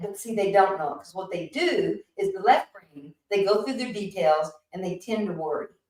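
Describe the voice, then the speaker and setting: A woman with an unremarkable speaking voice, medium in pitch, with lively intonation. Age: 60s. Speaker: podcast guest. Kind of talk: casual chat.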